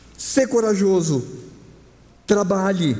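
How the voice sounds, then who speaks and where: Lively in intonation, a man speaks at a very slow pace amid audible room echo. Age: 50s. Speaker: pastor. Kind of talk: sermon. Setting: church.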